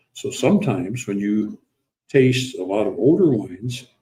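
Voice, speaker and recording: With an American accent, a man talks at a medium pitch in a dark, mellow, somewhat breathy tone. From US Midwest, South Dakota. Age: 80s+. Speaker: winery founder. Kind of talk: casual conversation. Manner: halting, many fillers.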